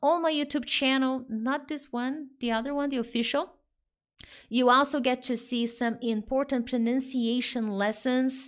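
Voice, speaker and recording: A woman with a Brazilian accent speaks in a high pitch with fairly even intonation. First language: Portuguese. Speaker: English teacher. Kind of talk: live online lesson. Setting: live stream. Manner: normal pace, not fast.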